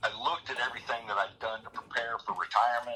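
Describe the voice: A man speaks at a fairly low pitch, his tone bright and sharp with a slightly husky edge.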